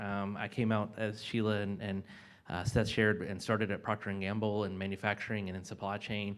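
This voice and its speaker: In a very clean recording with a silent background, a man with a North Carolina accent talks at a very fast pace and a fairly low pitch. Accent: Southern US (North Carolina). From US South, mountains of North Carolina. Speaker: corporate sustainability executive. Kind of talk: panel discussion.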